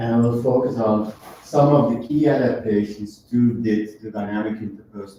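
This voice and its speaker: Someone with a non-native accent speaks at a moderate pace with fairly even intonation. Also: man. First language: not English. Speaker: professor. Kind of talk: lecture. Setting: lecture hall with audience, also streamed. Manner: halting.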